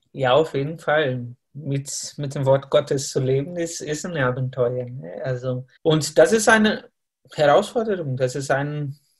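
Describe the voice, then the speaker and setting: A man talks at a very slow pace with a fairly high pitch. His voice is somewhat breathy, with ordinary pitch variation. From Brazil. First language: Portuguese (speaking German). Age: 30s. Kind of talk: interview. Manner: halting, with fillers.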